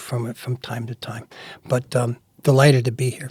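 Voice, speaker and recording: A man speaks at a moderate pace with an American accent, somewhat breathy. The sound is dry and close, with no echo. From US Northeast, New York suburbs. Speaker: publisher and editor. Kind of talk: interview.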